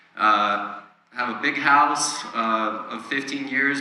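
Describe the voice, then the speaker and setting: In a room with audible echo and noticeable background noise, a man speaks very slowly at a medium pitch. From Ukraine. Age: 40s. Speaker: church member sharing testimony. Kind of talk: testimony. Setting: church.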